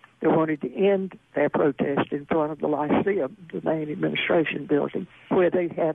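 A woman's very deep, low voice at a moderate pace against noticeable background noise. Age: 70s. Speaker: author and attorney. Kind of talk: interview about memoir.

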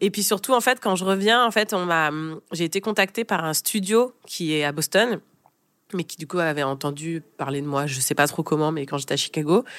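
Using a plain, everyday voice at a fairly low pitch, a woman speaks at a moderate pace with lively intonation on a very clean recording with a silent background. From France. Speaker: brand consultant and jazz singer. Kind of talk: interview, casual chat.

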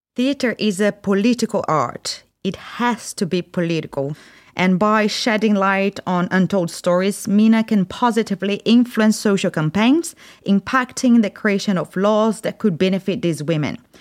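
Recorded very cleanly with a silent background and a dry, close sound with no echo, a woman speaks at a medium pitch and a moderate pace with ordinary pitch variation. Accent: Brazilian. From Brazil. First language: Portuguese. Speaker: theatre artistic director. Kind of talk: interview.

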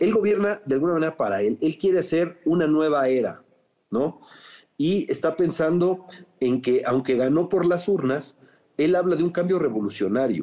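The voice has a dark, mellow tone and lively intonation. It moves at a moderate pace with very even loudness. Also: man, fairly high pitch for a man. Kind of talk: interview. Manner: halting, with many fillers and repetitions.

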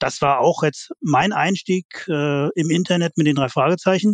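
Over a quiet background, a man with an ordinary speaking voice talks at a fairly high pitch with ordinary pitch variation. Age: 50s. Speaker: fan website founder. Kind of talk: casual chat.

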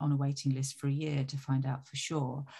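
A woman talks at a moderate pace in a very deep, low, somewhat breathy voice. The recording is very clean, with a silent background. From Italy. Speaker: music industry executive. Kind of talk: interview.

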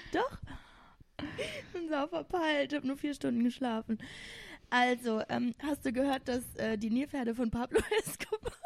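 Long, frequent pauses within a moderate pace and ordinary pitch variation. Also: woman, high pitch for a woman. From Saarland, Germany. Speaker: teacher, host's sister. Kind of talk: casual chat.

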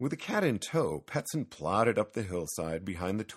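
The text is read aloud plainly.

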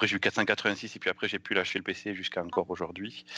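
With a southwestern French accent, a man speaks at a fairly quick pace in a bright, sharp tone. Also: dry, close sound with no echo. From southwestern France, near Pau. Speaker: software developer. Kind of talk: casual chat.

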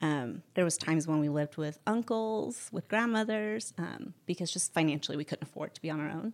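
Using an ordinary speaking voice, a woman talks at a fairly quick pace with hardly any pauses, lively intonation and a fairly low pitch. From born in Barcelona, raised mostly in the US. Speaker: fashion influencer. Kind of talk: casual interview.

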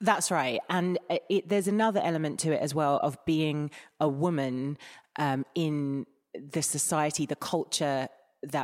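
Over a very clean recording with a silent background, a woman with an Essex accent talks at a moderate pace in a very deep, low pitch. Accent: southern English, Essex. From England, Essex. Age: 30s. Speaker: body image and mental health campaigner. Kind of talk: interview conversation.

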